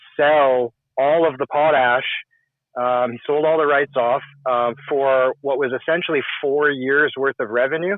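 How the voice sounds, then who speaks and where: Flat and monotone, a man with a Canadian accent speaks at medium pitch and a fairly slow pace. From Canada, Saskatchewan. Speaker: call-in participant. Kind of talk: casual political discussion.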